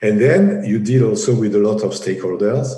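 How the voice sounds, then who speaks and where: In a strong French accent, a man with a fairly low pitch and a dark, mellow tone speaks amid audible room echo. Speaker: engineering project executive. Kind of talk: interview. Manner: halting, many fillers and repetitions.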